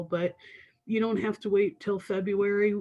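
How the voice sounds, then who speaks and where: At a moderate pace, a woman talks in a dark, mellow tone with monotone, flat intonation. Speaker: university financial aid director. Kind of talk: webinar Q&A.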